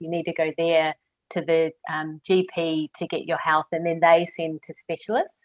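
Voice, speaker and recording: Fairly quick speech in a New Zealand accent, with a dry, close sound and no echo. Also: woman. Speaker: clinical psychologist. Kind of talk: interview conversation.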